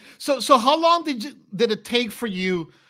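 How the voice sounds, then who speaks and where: Raised and projected, a man's bright, sharp voice moves at a fairly slow pace with lively intonation, recorded very cleanly against a silent background. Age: 40s. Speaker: podcast host and video game developer. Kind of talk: casual interview chat. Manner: halting, many fillers.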